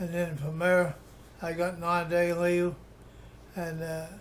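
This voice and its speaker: Someone with an Appalachian accent speaks at a very slow pace. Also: man. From Appalachia, West Virginia (Webster County). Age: 80s+. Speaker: war veteran. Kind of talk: oral history interview. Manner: halting, many restarts and fillers.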